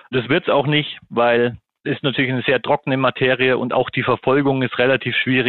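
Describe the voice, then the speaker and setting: A medium-pitched male voice with monotone, flat intonation. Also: fairly quick pace. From Germany, Munich. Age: 40s. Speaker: golf association marketing head. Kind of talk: interview.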